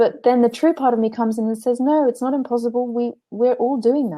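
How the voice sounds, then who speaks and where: A woman's high-pitched voice with a dark, mellow tone, ordinary pitch variation, and a fairly quick pace. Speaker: spiritual teacher and blogger. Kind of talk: interview. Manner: halting, many repetitions.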